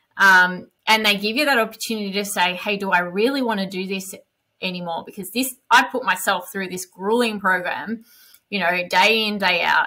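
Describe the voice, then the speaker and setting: This woman speaks at a medium pitch with an Australian accent and a bright, sharp tone. Her intonation stays fairly even over a quiet background. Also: moderate pace. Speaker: elite marathon runner; podcast guest. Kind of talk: casual chat. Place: home room. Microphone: headset.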